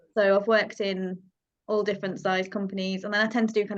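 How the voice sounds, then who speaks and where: A woman with a slight Yorkshire accent, moderate pace, and monotone, flat intonation. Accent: slight Yorkshire twang. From Yorkshire, northern England. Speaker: freelance marketing manager. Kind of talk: casual group video call discussion.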